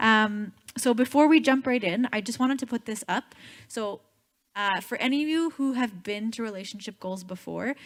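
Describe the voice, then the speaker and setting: This woman's voice is fairly high in pitch. It shows ordinary pitch variation. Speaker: youth relationship series speaker. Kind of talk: church group talk. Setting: in-person room with audience. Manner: fast.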